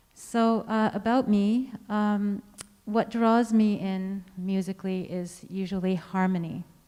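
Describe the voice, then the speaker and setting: A soft-spoken woman has a dark, mellow tone. Her intonation stays fairly even. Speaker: composer. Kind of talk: artist talk to audience. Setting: stage with audience, speaking through a mask.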